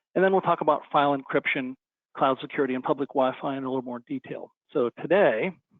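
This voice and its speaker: The man talks at a very fast pace with a fairly high pitch. His pitch varies in an ordinary way. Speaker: company CEO presenting webinar. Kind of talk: webinar presentation.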